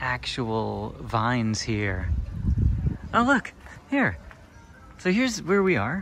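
A man at a very slow pace, with music in the background. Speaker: travel vlogger. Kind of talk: casual vlog chat. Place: open country. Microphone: phone near.

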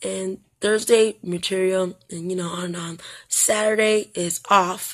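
Over a quiet background, the voice keeps fairly even intonation. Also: woman. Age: 40s. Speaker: vlogger and art student. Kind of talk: casual vlog. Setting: at home. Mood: chatty, self-deprecating. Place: home room. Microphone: phone near.

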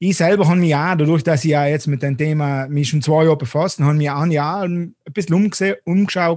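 A man's fairly high voice at a fairly quick pace, with fairly even intonation and a quiet background. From South Tyrol, Passeier valley; South Tyrol, Italy. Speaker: finance YouTuber. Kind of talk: interview.

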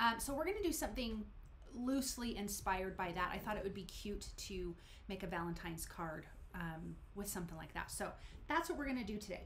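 Over light background noise, a woman with a medium pitch talks at a fairly quick pace with lively intonation. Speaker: card making channel host. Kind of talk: live stream crafting tutorial. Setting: home room, live stream. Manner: animated. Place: home room.

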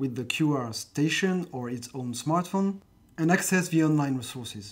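Lively intonation marks this man's speech. He has a fairly high pitch and a French accent. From France. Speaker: philosophy teacher. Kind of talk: scripted narration.

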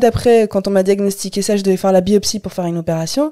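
With ordinary pitch variation, this voice carries a dark, mellow tone. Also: woman. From Algeria, Algiers. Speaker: stand-up comedian. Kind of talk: casual chat.

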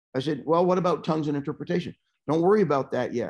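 Against a quiet background, the pitch varies in an ordinary way. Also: man. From Calgary, Canada; Canada. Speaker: pastor guest. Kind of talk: fervent prayer in the spirit, then casual testimony. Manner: animated, fervent and rhythmic in prayer. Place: home room. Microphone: earbuds.

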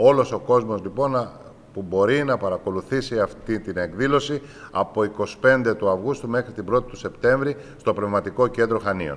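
A man moves at a moderate pace, and his pitch varies in an ordinary way. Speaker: regional government official. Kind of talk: press statement. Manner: formal. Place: office. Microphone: handheld.

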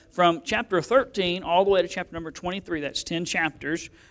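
A man speaks at a moderate pace in a high pitch. The background is quiet. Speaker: pastor. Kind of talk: sermon. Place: church.

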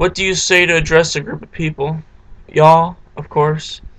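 With a Virginia accent, a man speaks at a moderate pace. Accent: Southern American, Virginia. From southeastern Virginia, USA. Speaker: accent tag vlogger. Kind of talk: casual talk to camera, accent word list. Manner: casual, hesitant. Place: home room. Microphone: webcam.

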